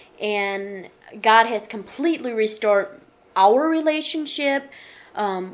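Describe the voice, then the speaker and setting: A woman with an unremarkable speaking voice talks fairly slowly at a fairly high pitch, with ordinary pitch variation. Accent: American. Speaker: author. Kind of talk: radio interview testimony.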